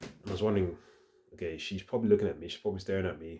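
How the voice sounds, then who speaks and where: A man's dark, mellow tone at a very fast pace. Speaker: vlogger. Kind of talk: casual vlog monologue. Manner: halting, self-correcting.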